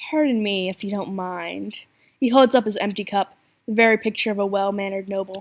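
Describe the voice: What we hear is plain reading aloud.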